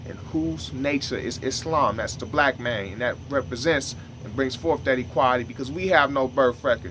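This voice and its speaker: A man's medium-pitched voice with lively intonation amid noticeable background noise. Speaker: religious teacher. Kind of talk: monologue teaching. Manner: fast.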